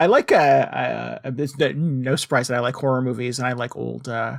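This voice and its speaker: A man speaks at a medium pitch with a Connecticut accent. His intonation is fairly even. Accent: Northern Connecticut. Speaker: podcast co-host. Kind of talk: casual chat.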